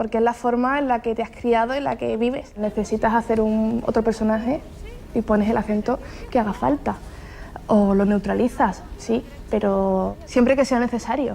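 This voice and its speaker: A woman's fairly high, fairly even-toned voice proceeds at a moderate pace amid noticeable background noise. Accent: Andalusian. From Andalusia. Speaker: actress. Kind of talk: interview answer.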